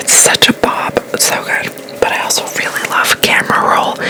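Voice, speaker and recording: Against noticeable background noise, the speech comes as a whisper at a moderate pace. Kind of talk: ASMR get-ready-with-me makeup talk to camera. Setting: distant from the mic. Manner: whispered, soft.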